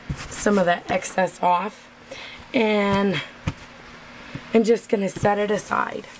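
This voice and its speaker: A woman speaking at a very slow pace, her intonation fairly even, over noticeable background noise. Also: long, frequent pauses, very even loudness. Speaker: craft video maker. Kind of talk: tutorial. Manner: casual, chatty.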